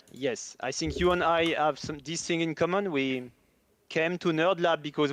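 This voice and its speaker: With a quiet background behind him, a man talks at a moderate pace in a fairly high pitch with ordinary pitch variation. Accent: French. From France. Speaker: game developer. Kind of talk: live stream chat.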